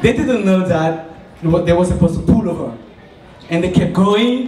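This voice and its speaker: A man speaks at a moderate pace with a high pitch for a man and ordinary pitch variation. The room echo is audible, and the background noise is noticeable. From Cameroon. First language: French. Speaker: student entrepreneur. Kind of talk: business pitch. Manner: halting.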